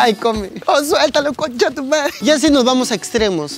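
Man at a fairly quick pace, dry sound with no echo, clear music in the background. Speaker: comedian storyteller. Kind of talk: comic monologue to camera. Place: street. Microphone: lapel.

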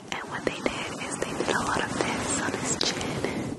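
The speaker is a woman whispering. She goes rather slowly. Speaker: ASMR creator. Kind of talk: whispered ASMR chat. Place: home room. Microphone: studio mic.

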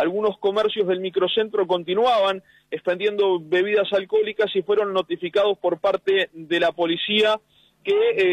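Here a man speaks at a high pitch. His pace is moderate. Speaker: field reporter. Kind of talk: live field report. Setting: outdoors at polling station, mobile unit.

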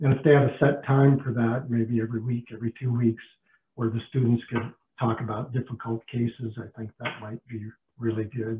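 Against light background noise, a man speaks fairly quickly in a flat monotone. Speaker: dentist; panelist. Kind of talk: webinar discussion. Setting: video call. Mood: warm, appreciative. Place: kitchen. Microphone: video call.

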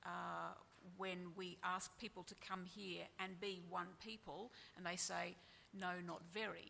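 A woman speaks in an Australian accent with a bright, sharp tone and vocal fry. Her intonation stays fairly even over light background noise. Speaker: journalist. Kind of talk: panel presentation; panel discussion. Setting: stage with audience. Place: hall. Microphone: podium.

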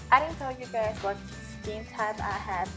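Behind her voice, clear music can be heard. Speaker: beauty vlogger. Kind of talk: casual skincare tutorial to camera. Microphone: camera far.

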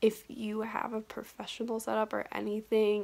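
A woman is speaking. Her pace is moderate. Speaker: vlogger. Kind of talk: casual vlog chat. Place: home room. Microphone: phone near.

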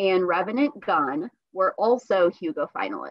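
A woman speaks at a fairly slow pace over a quiet background, the sound dry with no echo. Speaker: library program host. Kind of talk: introduction of a guest. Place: home room. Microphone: webcam.

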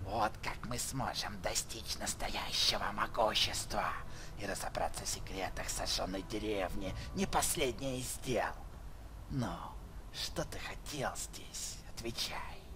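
A put-on character voice goes at a fairly slow pace over loud background noise. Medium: fan dub. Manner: sly, domineering, suspicious.

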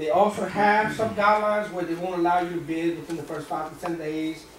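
A man with a high pitch and fairly even intonation at a fairly quick pace, with audible room echo and light background noise. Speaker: seminar instructor. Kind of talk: lecture. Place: meeting room. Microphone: camera far.

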